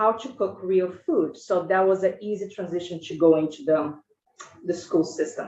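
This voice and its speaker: A woman in a Brazilian Portuguese accent, medium in pitch with ordinary pitch variation, at a moderate pace. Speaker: school food service director. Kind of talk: committee testimony. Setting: legislative committee hearing. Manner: halting, many fillers.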